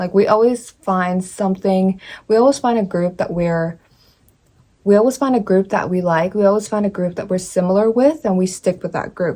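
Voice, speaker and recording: A woman speaks at a moderate pace in a medium pitch with ordinary pitch variation. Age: 20s. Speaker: lifestyle vlogger. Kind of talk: casual talk to camera. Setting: home, in front of bookshelf. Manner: halting, many fillers and restarts.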